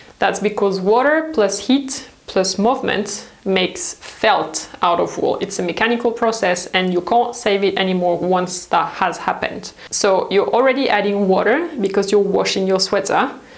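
A woman talks at a moderate pace in a medium pitch with ordinary pitch variation. Audible room echo surrounds her voice. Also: few pauses.

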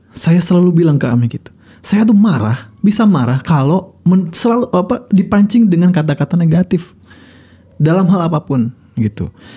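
A high-pitched man's voice, dark and mellow in tone, at very even loudness over a quiet background. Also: moderate pace. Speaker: radio broadcaster and speaker; podcast guest. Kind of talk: casual chat. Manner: calm, not fiery. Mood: calm, reflective. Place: studio. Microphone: studio mic.

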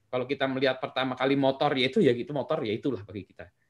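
A man speaks against a quiet background. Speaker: lecturer and startup practitioner presenting a book; lecturer. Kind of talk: online book discussion presentation. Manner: animated. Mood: relaxed, conversational, amused. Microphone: webcam.

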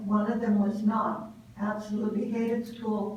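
A woman's fairly high voice, monotone and flat, at a fairly slow pace, with audible room echo and noticeable background noise. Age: 80s+. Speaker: public commenter at a school board meeting. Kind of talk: public comment. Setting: board meeting at a podium.

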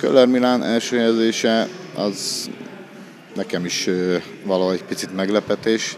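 Over noticeable background noise, a man speaks fairly low with fairly even intonation. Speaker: judo coach. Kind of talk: interview. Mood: calm, pleased. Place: gym. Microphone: handheld.

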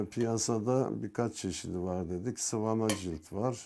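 Very slowly, a man speaks in a dark, mellow tone at a fairly low pitch, on a very clean recording with a silent background. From Turkey, Ankara (from Yozgat). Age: 60s. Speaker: bookbinder. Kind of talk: interview monologue. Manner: hesitant, with fillers.

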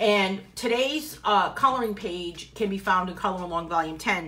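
A woman with a Boston accent, warm in tone, medium in pitch, lively in intonation, at a moderate pace. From New England, US. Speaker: coloring book artist and tutor. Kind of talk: live coloring tutorial with viewer chat. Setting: live video stream at home, dogs in background. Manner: chatty, warm and informal. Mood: relaxed, friendly. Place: home room.

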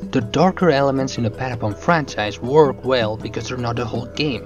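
Lively intonation in a non-native accent, with music in the background. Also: man. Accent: noticeable non-native. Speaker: video game reviewer. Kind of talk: video essay narration.

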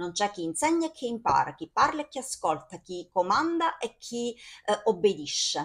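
A woman talks at a moderate pace, her pitch swinging very widely over a quiet background. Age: 40s. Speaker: video blogger / film commentator; video blogger, film commentator. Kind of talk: casual monologue to camera about a film. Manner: animated, enthusiastic. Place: home room. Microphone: phone near.

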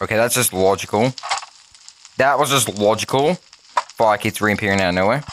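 Against noticeable background noise, a man with a fairly low pitch talks at a fairly quick pace, with long, frequent pauses and very even loudness. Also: ordinary pitch variation. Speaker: gaming YouTuber. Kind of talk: gameplay commentary. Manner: fast; animated.

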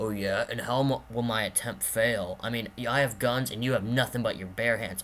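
A man's medium-pitched voice at a moderate pace, with fairly even intonation, hardly any pauses and clear background noise. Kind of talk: amateur home-movie voice acting. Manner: smug, taunting.

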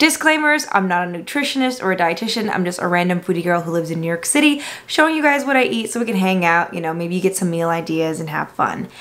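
Very fast delivery with hardly any pauses and very wide pitch swings. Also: woman. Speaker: food vlogger. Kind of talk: casual vlog chat. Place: home room. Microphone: camera far.

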